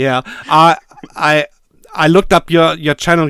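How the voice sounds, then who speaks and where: Someone with a German accent talks at a very slow pace. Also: man. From Germany. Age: 50s. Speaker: synthesizer YouTuber. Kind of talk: casual chat. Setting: video call. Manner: halting.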